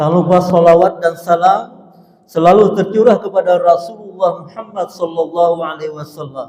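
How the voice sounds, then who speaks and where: With a South Kalimantan accent, a man talks at a moderate pace. His pitch is high, with ordinary variation. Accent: Banjar. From South Kalimantan (Banjarmasin). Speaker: preacher. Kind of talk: sermon. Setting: mosque.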